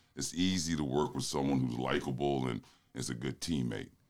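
A man with a very deep, low pitch and vocal fry speaks at a moderate pace with ordinary pitch variation. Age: 50s. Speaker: college basketball assistant coach. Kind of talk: casual interview.

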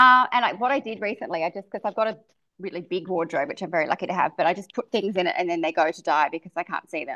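With an Australian accent, a woman speaks at a medium pitch in a bright, sharp tone. Her intonation is lively, her pace very fast, and the background quiet. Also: dry, close sound with no echo. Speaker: beauty and fashion expert, podcast host. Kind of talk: casual interview chat.

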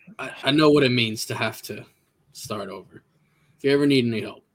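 Putting on a raspy character voice at a medium pitch, a man speaks at a fairly quick pace with big swings in loudness. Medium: actual play. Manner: cocky, casual.

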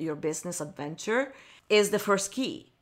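On a very clean recording with a silent background, a woman speaks with an Italian accent. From Italy, Milan. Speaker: wedding photographer, podcast host. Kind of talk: motivational solo podcast talk.

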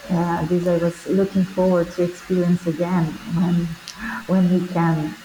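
A woman's fairly low, fairly slow voice, monotone and flat in intonation, with very even loudness and noticeable background noise. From Brazil. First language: Portuguese. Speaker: performing artist and teacher. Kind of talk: interview. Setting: remote call.

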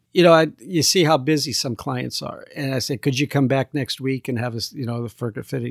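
With an American accent, a man speaks at a fairly quick pace with hardly any pauses, medium pitch and ordinary pitch variation, in a dry, close sound with no echo. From US Midwest, Fort Wayne, Indiana. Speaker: tailor. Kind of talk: casual interview. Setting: at his home.

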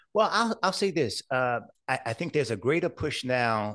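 Lively intonation carries speech at a moderate pace over a quiet background. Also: man. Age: 60s. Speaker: entrepreneur and cancer survivor advocate. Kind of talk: casual interview.

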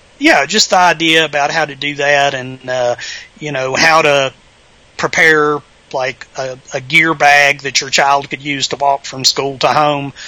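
A man with a Southern Virginia accent speaks at a fairly slow pace and fairly high pitch. His intonation is monotone and flat, with noticeable background noise. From Southern Virginia, US. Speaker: author. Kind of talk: casual interview chat.

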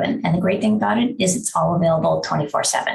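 A woman with a normal speaking voice talks at a moderate pace, her fairly low pitch carried by lively intonation. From Wisconsin. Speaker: attorney. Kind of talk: lecture.

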